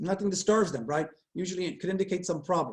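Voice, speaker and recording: A man talks at a very fast pace. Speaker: psychology professor. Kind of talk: lecture. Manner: energetic.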